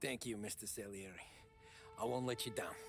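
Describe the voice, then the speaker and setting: Over clear music in the background, a man puts on a raspy character voice at medium pitch and a fairly quick pace. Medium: video game.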